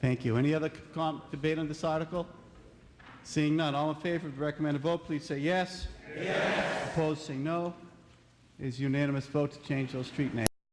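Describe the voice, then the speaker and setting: Over noticeable background noise, a man with an American accent speaks at a fairly quick pace, his pitch fairly high and his intonation fairly even. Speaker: town meeting moderator. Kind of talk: meeting moderation.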